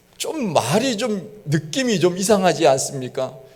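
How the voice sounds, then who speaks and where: Lively intonation marks a man's speech, heard with audible room echo and noticeable background noise. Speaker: pastor. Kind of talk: sermon.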